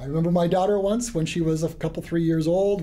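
A dark, mellow tone colors this man's voice. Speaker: geology instructor. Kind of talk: lecture. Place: classroom.

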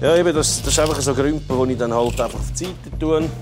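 A man speaks over clear music in the background. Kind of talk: casual vlog chat. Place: workshop. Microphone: lapel.

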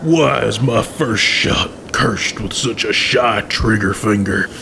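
Over clear background noise, a man does a cartoonish character voice at a medium pitch and a fairly slow pace. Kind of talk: comic western cartoon acting. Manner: boastful, threatening, lovesick.

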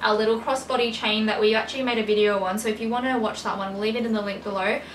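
Over clear background noise, a woman speaks at a very fast pace with a fairly high pitch and fairly even intonation.

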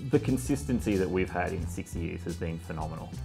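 Clear music plays in the background. Over it, a man talks in a very deep, low voice. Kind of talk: interview answer. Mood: calm, reflective. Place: cafe. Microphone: lapel.

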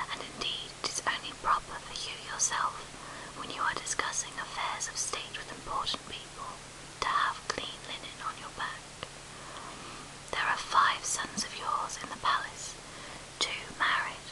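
A woman whispers with long, frequent pauses and big swings in loudness. Noticeable background noise runs underneath. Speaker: ASMR whisper reader. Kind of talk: whispered audiobook reading of classic literature. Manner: whispered, soft-spoken, slow.

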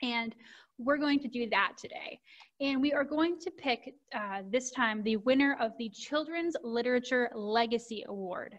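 Pitched high for a woman, her voice moves at a moderate pace with ordinary pitch variation. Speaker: presenter. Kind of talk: presentation on book resources. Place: home room. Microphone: video call.

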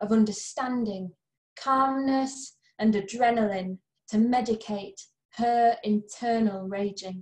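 Somewhat breathy and very slow, a woman speaks with ordinary pitch variation, audible room echo and an otherwise quiet background. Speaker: poet, reader of own or anthology poem. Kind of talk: poem reading, reading aloud a poem. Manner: measured, tender, earnest; emotionally weighted, warm and empathetic. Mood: gentle, earnest. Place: home room. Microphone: webcam.

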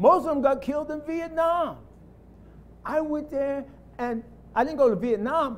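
An animated man with an American accent, his pitch extremely high. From US inner city. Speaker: lay preacher. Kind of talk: sermon. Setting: church. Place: church.

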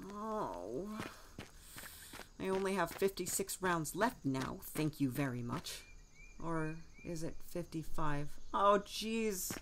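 Using a put-on character voice, a woman speaks very slowly in a whiny, anxious tone at a fairly low pitch, with long, frequent pauses and clear background noise. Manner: anxious, whiny, easily distracted.

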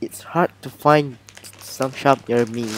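Noticeable background noise accompanies a man at a medium pitch with ordinary pitch variation, his voice dry with no echo. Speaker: hobby photographer. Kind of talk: casual unboxing talk to camera. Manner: soft-spoken, somewhat mumbling. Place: home room. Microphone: camera far.

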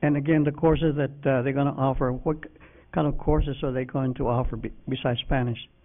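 Very fast and monotone, a man talks at a fairly high pitch with flat intonation. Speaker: school board member. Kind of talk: board meeting discussion. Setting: public meeting room.

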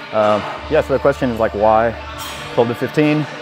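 A man is speaking with ordinary pitch variation. Background music is audible behind him. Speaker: lifting coach. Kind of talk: casual vlog chat. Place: gym. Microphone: lapel.

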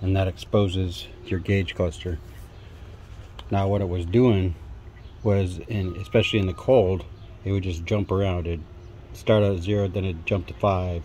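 Over light background noise, a man with a very deep, low pitch and a dark, mellow, somewhat breathy tone speaks at a moderate pace with fairly even intonation and long, frequent pauses. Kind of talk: tutorial. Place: garage. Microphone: phone near.

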